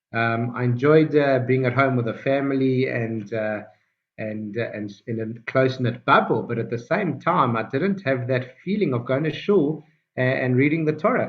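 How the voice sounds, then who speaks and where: A man with a strong South African accent talks at a medium pitch. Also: ordinary pitch variation, moderate pace. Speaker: rabbi and Torah teacher. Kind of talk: online Torah class. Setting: video call. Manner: hesitant, many fillers.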